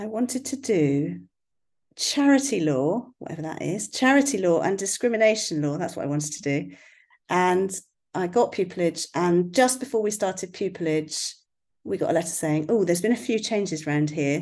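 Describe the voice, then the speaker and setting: Against a quiet background, a woman with a slight West Country accent talks at a moderate pace and medium pitch, her intonation lively. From West Country, England. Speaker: family law barrister and blogger. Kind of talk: casual interview chat.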